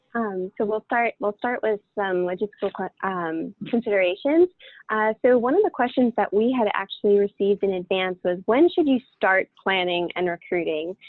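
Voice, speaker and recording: A woman with an ordinary speaking voice talks at a moderate pace, her pitch medium and its variation ordinary. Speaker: webinar facilitator. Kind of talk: webinar presentation.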